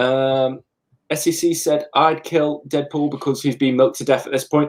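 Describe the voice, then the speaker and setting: A man at a moderate pace, in monotone, flat intonation. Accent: Staffordshire. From England. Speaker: comic book YouTuber. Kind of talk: casual live chat.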